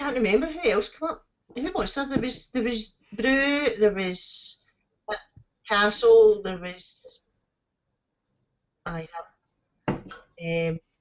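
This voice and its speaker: In a Scottish accent, the speech crawls at a very slow pace with long, frequent pauses and very wide pitch swings. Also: woman, fairly high pitch for a woman. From Scotland. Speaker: live streamer. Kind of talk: casual chat.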